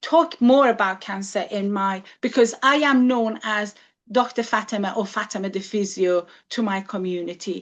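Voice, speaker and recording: A woman at a medium pitch talks fairly slowly, her pitch varying in an ordinary way. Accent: Iranian. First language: Farsi. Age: 60s. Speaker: physiotherapist and cancer survivor. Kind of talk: talk to a group. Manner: halting.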